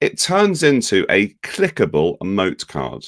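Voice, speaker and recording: A man with a British accent and a fairly high pitch makes very wide pitch swings, with vocal fry. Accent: UK. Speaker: ed-tech company education lead. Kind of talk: software tutorial demo.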